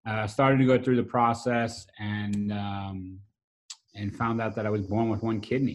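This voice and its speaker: This man has a Brooklyn accent and a fairly low pitch. He talks at a moderate pace with monotone, flat intonation. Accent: New York (Brooklyn). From US Northeast, South Brooklyn, New York. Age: 40s. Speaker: restaurant owner and pit master. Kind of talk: casual interview conversation.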